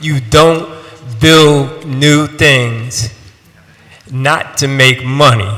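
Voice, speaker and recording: An animated male voice against noticeable background noise. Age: 60s. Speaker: resident giving public testimony. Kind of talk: public testimony. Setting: city council hearing.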